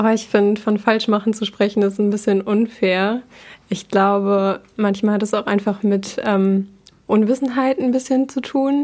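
A woman speaks at a fairly slow pace in an unremarkable speaking voice, her pitch fairly high. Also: very even loudness. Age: 20s. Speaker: university student. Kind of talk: casual chat. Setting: local party office.

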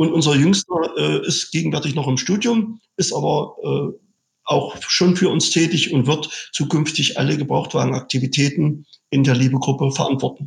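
A man's fairly high pitch carries vocal fry and ordinary pitch variation. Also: moderate pace. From eastern Germany (Saxony-Anhalt, Sangerhausen). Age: 50s. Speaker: car dealership owner and trade association executive. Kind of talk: interview.

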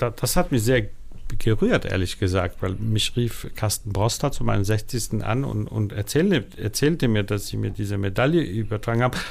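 The man has an unremarkable speaking voice, a medium pitch and a moderate pace. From Denmark, Copenhagen (born in Warsaw). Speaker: film festival director. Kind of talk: interview.

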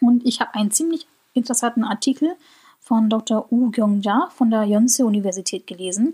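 Her voice has a dark, mellow tone and a fairly high pitch with ordinary variation. The woman talks at a fairly quick pace. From Germany. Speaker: podcast host. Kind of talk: solo podcast monologue.

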